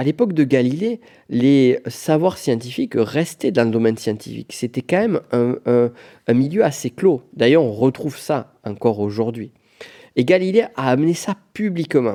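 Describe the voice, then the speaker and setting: A man with a strong southwest French accent, medium pitch, lively intonation, a dark, mellow tone and moderate pace, in a dry, close sound with no echo. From Pyrenees, southwest France. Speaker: business coach, podcast host. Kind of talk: solo podcast monologue. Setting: on location in Florence. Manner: casual, conversational.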